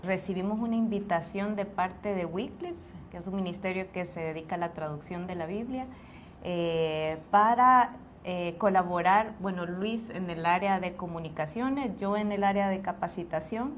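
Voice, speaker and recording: This woman speaks at a moderate pace in a medium pitch with ordinary pitch variation, a plain, everyday voice. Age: 40s. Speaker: returned missionary, stay-at-home mother. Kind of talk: testimony interview.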